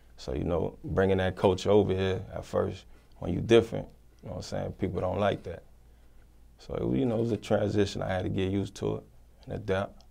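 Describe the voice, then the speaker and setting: Speaking at a fairly quick pace, a man with a fairly low pitch, ordinary pitch variation, a dark, mellow tone and vocal fry. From Haiti, then Miami from age eight. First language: Haitian Creole. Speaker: rapper. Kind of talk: interview. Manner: casual, filler-heavy speech.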